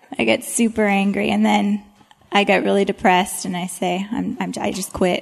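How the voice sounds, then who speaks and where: The woman talks at a moderate pace. Noticeable background noise is present. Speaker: panelist, homeschooling working mom. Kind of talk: panel Q&A.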